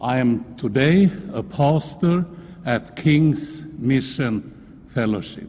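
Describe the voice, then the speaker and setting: This man speaks at a very slow pace with a Swedish accent. His voice sits fairly high in pitch, and his intonation is lively. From Sweden. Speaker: pastor. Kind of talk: public comment.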